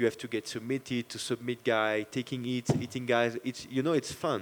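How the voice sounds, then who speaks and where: This man talks at a moderate pace with a medium pitch and a French accent. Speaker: MMA fighter. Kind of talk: post-fight press interview. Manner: halting.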